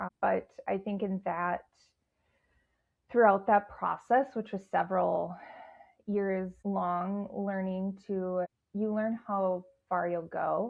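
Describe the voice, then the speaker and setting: The speech comes at a very slow pace in a monotone, flat intonation, broken by long, frequent pauses. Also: woman, medium pitch for a woman. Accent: Midwestern. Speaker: guest sharing sobriety and leadership story. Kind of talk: podcast interview.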